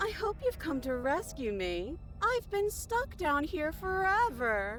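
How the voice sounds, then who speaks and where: Clear background noise sits behind a high, put-on character voice. The pace is fairly slow. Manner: unsettling, wrong-sounding.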